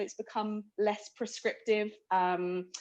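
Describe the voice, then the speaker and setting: A woman speaks in a London accent. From London, England. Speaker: workshop participant. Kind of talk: group discussion summary.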